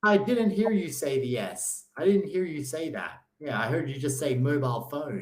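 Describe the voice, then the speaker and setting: With an Australian accent, a man talks at a moderate pace in a fairly high, somewhat breathy voice, swinging very widely in pitch and hardly pausing at all. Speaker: online English tutor. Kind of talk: language lesson.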